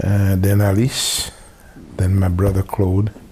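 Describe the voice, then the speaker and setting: A man's very deep, low voice at a very slow pace, with fairly even intonation and noticeable background noise. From Haiti. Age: 60s. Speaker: family elder interviewee. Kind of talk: oral history interview. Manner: halting, many filler pauses.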